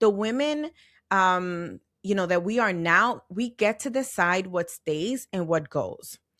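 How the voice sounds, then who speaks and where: A woman with an ordinary speaking voice talks at medium pitch with lively intonation in a very clean recording with a silent background. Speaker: podcast host. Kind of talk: podcast monologue. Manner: conversational.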